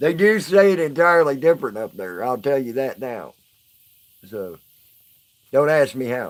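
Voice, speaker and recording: This man, with a Southern US accent, talks at a moderate pace with long, frequent pauses, a fairly high pitch, very wide pitch swings and big swings in loudness. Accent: southern twang. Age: 40s. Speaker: live streamer. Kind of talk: casual live stream chat. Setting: live stream.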